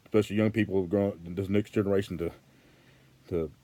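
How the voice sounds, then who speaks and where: A man with a Southern US accent, a very deep, low pitch and a dark, mellow tone, at a very fast pace with monotone, flat intonation. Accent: Southern American. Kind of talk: casual talk to camera.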